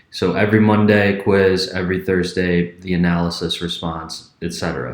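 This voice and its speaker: Audible room echo surrounds a man speaking at a moderate pace in a very deep, low pitch with ordinary pitch variation. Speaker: history professor. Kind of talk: class announcement video. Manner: speeds up when passionate.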